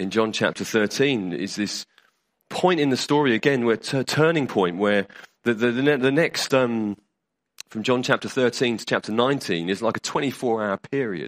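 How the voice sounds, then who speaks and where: The speech comes at a moderate pace in a British accent. The recording is very clean, with a silent background. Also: man, medium pitch for a man, ordinary pitch variation, dry, close sound with no echo. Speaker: preacher. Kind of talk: sermon. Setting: church. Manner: conversational, hesitant with fillers.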